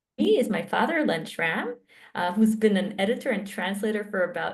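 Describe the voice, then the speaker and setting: With long, frequent pauses and big swings in loudness, a somewhat breathy woman speaks at a moderate pace and a medium pitch with ordinary pitch variation. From Israel. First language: Hebrew. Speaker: academic researcher. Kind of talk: interview conversation.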